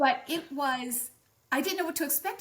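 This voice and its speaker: A woman speaks at a moderate pace with lively intonation. Her tone is bright and sharp. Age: 60s. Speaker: barndominium floor plan designer and builder. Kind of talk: interview. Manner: halting, many fillers and restarts.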